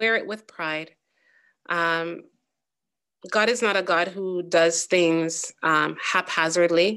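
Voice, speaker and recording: A woman speaks at a fairly low pitch in a bright, sharp tone. Her pace is very slow, with long, frequent pauses over a quiet background. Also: fairly even intonation. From Jamaica. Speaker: psychotherapist. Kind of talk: interview.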